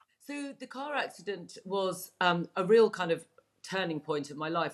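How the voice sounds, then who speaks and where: In a very clean recording with a silent background, a woman talks with a southern English accent. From England. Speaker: Chinese medicine practitioner. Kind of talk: interview. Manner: hesitant, many fillers.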